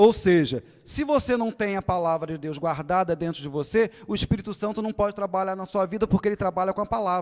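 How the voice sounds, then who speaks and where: A man's high voice at a very fast pace, animated in tone. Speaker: pastor. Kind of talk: sermon. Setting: church.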